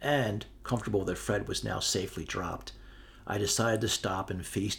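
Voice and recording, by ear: The words are read out in a natural voice.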